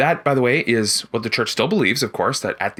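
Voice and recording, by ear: A natural voice reading aloud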